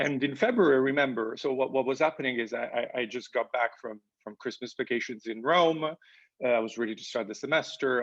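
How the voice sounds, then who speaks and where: A man in an Italian accent, with ordinary pitch variation. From Italy. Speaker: professor. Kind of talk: interview. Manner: halting, many fillers and repeats.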